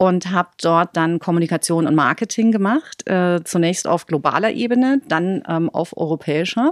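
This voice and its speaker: A woman speaks in an ordinary speaking voice, fairly low, with lively intonation. At a moderate pace with hardly any pauses, her sound is dry and close with no echo. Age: 40s. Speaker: media and communications executive. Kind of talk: interview.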